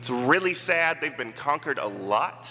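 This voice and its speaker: Against noticeable background noise, a man with an American accent speaks in an animated tone. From Pittsburgh area, US (McKeesport). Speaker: campus minister and missionary, guest preacher. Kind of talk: sermon. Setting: church with congregation.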